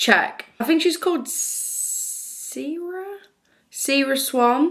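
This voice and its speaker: A woman with a strong northern English accent speaks at a very slow pace. Her voice is high, with ordinary pitch variation. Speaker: book youtuber. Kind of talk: casual vlog chat. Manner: chatty, informal.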